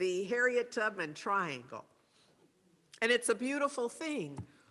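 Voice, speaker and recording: Speaking at a moderate pace with lively intonation, a woman uses an unremarkable speaking voice. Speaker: speaker at spiritual service. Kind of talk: talk with slides.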